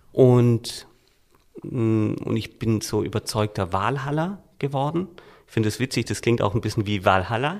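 Here a man speaks in a normal speaking voice at a medium pitch. His pace is moderate, with big swings in loudness. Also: lively intonation. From Swabia, Germany (Reutlingen). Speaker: book publisher and author. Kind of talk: casual interview.

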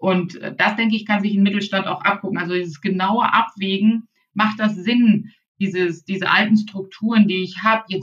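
A woman at medium pitch, an ordinary speaking voice, moderate pace. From northern Germany, Baltic coast. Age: 40s. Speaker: e-commerce consultant. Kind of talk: interview.

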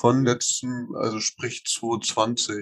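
A man at a very slow pace. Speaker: podcast host. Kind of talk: casual chat. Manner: loud.

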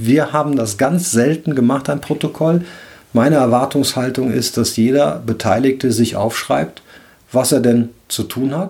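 With vocal fry and ordinary pitch variation, a man talks at a fairly slow pace. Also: medium pitch for a man. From Rhineland, Cologne. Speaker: leadership coach and podcast host. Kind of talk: solo podcast monologue, advice talk.

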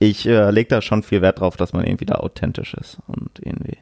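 A man's fairly low, dark and mellow voice, dry and close with no echo, at a moderate pace with fairly even intonation. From Duisburg, Ruhr area, Germany. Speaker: tattoo artist. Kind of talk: interview. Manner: casual.

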